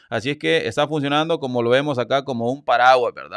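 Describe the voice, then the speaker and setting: The background is quiet and the sound is dry, with no echo. A man speaks at a medium pitch with ordinary pitch variation. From El Salvador. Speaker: YouTube news commentator. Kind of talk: live-stream news commentary. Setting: live stream. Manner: animated. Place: home room. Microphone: studio mic.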